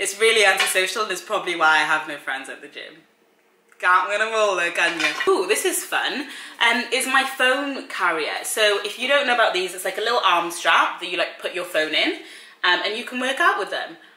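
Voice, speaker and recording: Fairly quick speech from a woman amid audible room echo. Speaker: fitness vlogger. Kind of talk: casual vlog chat. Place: kitchen.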